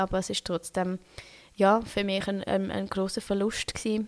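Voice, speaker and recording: A woman with a Swiss German accent talks fairly slowly in a medium pitch and a monotone, flat intonation, on a very clean recording with a silent background. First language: Swiss German (speaking German). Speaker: podcast host and doula. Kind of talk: solo podcast monologue. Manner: hesitant, many fillers.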